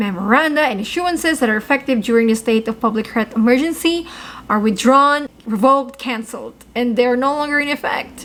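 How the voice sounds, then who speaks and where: In an upbeat tone, the voice moves at a fairly quick pace with ordinary pitch variation against noticeable background noise. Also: woman, high pitch for a woman. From Philippines. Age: 20s. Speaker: travel news vlogger. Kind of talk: casual news update to camera. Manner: upbeat, chatty.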